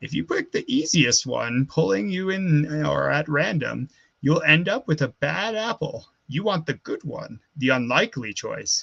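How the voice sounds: Croaky and delivered at a moderate pace, the put-on character voice carries the whole clip. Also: man, fairly high pitch for a man.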